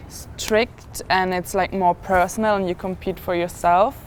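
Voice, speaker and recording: A woman speaks at a moderate pace with a German accent. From Germany. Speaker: college gymnast. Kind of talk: casual chat.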